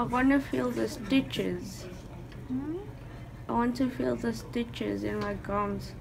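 A woman talks at a very slow pace. There is noticeable background noise. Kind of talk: casual groggy chat. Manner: groggy, slurred post-anesthesia mumble. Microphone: phone near.

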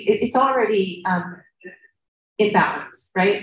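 A woman's somewhat breathy voice at a moderate pace, with ordinary pitch variation and audible room echo. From United States. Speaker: field station director and researcher. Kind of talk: conference presentation. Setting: conference panel. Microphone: video call.

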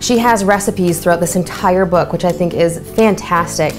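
Clear music plays in the background. A woman with a fairly low pitch speaks with fairly even intonation. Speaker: presenter. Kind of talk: tutorial. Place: kitchen. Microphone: lapel.

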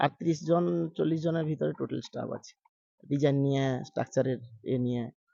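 A man speaks in an unremarkable speaking voice at a fairly high pitch, with ordinary pitch variation and big swings in loudness. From Kanthi, Purba Medinipur, West Bengal, India. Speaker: pandal artist. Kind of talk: interview.

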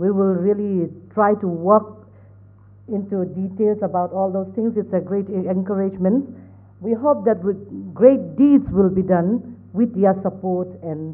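A woman's fairly slow speech is heard against a quiet background. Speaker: emcee of the event. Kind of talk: formal event hosting. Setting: stage with audience. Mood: warm, grateful. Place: hall. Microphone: podium.

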